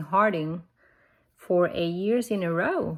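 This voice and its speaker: Speaking at a very slow pace, a woman talks with a non-native accent. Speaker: bible reading vlogger. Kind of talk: casual vlog talk. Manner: hesitant, many fillers.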